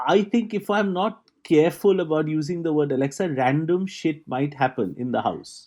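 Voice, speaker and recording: In an ordinary speaking voice, a man with fairly high pitch and lively intonation goes at a moderate pace with hardly any pauses over a quiet background. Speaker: podcast co-host. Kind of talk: casual comedic chat. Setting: alone in a rented apartment.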